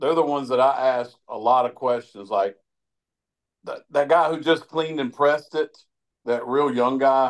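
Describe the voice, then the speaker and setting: A man talks in an unremarkable speaking voice. He keeps a moderate pace and fairly even intonation. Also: medium pitch for a man. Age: 60s. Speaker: grip strength athlete. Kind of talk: podcast interview.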